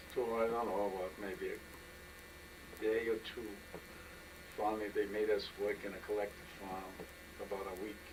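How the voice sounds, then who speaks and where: Over noticeable background noise, a man speaks at a fairly low pitch and moderate pace in a monotone, flat intonation. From Poland. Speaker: Holocaust survivor. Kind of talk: oral history interview answer.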